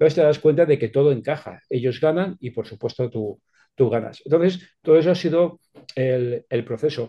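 A man with an ordinary speaking voice, fairly high pitch, ordinary pitch variation and a moderate pace. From Spain, Alicante province (Petrer). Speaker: sales expert and author. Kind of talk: interview, expert advice.

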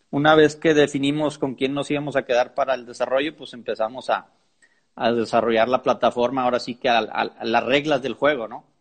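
Against a quiet background, a man of medium pitch speaks at a fairly quick pace with fairly even intonation. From Mexico, Monterrey (Nuevo León). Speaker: podcast host, charrería fan platform creator. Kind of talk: casual chat (live stream conversation). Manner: halting, many fillers.

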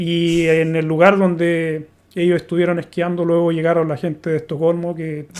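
At a moderate pace, a man with a Chilean accent talks in a high pitch. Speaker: podcaster, recurring guest. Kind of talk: casual conversation.

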